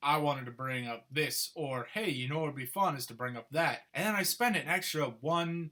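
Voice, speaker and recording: With an American accent and a bright, sharp tone, a man speaks at a moderate pace with hardly any pauses. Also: fairly high pitch for a man. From Minnesota, US Midwest. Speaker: vlogger. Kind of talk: casual vlog monologue. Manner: stutters, repeats words, verbal fillers; digressive, conversational.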